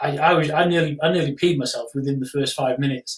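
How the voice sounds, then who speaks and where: A man's fairly high-pitched voice with a slightly breathy quality. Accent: English. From England. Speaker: travel memoir author. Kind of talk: casual chat. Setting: live stream.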